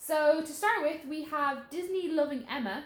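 A high-pitched woman speaks at a moderate pace. Room echo is audible. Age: 20s. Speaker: podcast co-host. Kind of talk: casual chat.

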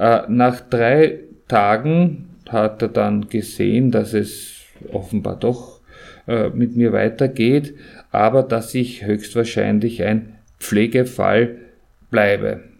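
This man's pitch shows ordinary variation. His words come very slowly. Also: medium pitch for a man. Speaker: stroke survivor podcast host. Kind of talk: personal testimony. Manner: halting.

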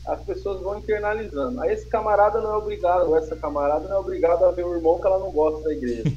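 A man at a very fast pace with hardly any pauses, plus noticeable background noise. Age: 30s. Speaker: pastor and church planter. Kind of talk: casual interview chat. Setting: remote live stream with connection problems.

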